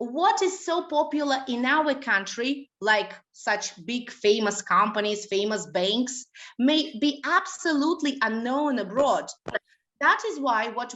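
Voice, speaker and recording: Speaking very slowly in a Russian accent, a woman uses a high pitch and lively intonation. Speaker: language school director and trainer. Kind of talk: webinar lecture. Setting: online webinar. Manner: hesitant, many fillers.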